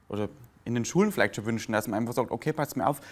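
A man is speaking. His pitch sits in the medium range. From Lower Bavaria, Germany; Bavaria, Germany. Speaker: comedian; interviewee, stage comedian. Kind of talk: interview. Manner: halting. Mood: warm, reflective storytelling. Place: cafe. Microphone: lapel.

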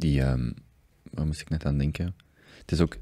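A man with a very deep, low pitch and a dark, mellow tone over a quiet background. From Belgium. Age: 30s. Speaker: podcast host. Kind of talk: casual interview conversation. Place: studio. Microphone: studio mic.

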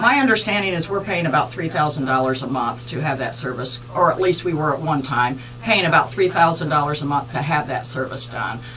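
A woman with an American accent at a moderate pace, hardly any pauses, and faint music in the background. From southern Ohio, near Cincinnati. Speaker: political candidate for county clerk; candidate. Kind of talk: radio interview. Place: studio.

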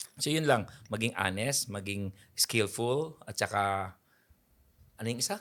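The speech moves at a fairly slow pace with ordinary pitch variation, recorded very cleanly against a silent background. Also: man, medium pitch for a man. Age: 50s. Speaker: photographer. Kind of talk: interview. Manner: animated.

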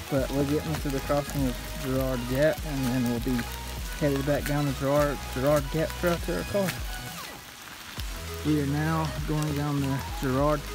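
Clear music plays in the background of a dry recording with no echo. The speech moves at a fairly slow pace. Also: man. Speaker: hiker vlogger. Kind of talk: casual vlog chat. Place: forest. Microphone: phone near.

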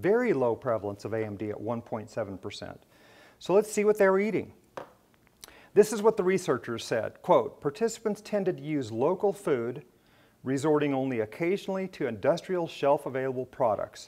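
A man's dark, mellow voice, fairly high in pitch, with very wide pitch swings. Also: moderate pace. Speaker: ophthalmologist giving a lecture. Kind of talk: lecture. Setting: stage with audience at a medical education event. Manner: passionate. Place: hall.

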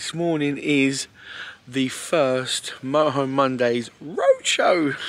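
Putting on a croaky character voice, a man speaks at a very slow pace in a fairly high pitch.

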